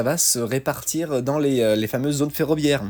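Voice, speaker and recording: In a very clean recording with a silent background, a man talks at a moderate pace, his fairly high pitch varying in an ordinary way. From France, Lyon area. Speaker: truck driver podcaster. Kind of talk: solo podcast commentary. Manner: halting, many fillers.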